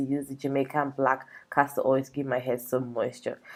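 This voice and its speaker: A woman speaks at a very fast pace. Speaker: beauty vlogger. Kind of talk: tutorial. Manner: casual, chatty.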